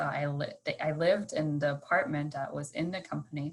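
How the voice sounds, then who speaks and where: The speaker has a German accent. The pace is moderate and the intonation fairly even. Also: woman. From Stuttgart, Germany. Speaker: engineering manager. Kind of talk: interview answer.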